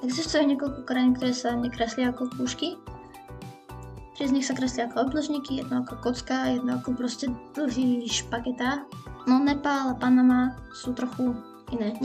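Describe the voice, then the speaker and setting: Music plays behind a woman speaking. Her voice is high-pitched, with monotone, flat intonation. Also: moderate pace. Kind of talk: casual drawing tutorial. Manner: humorous, casual.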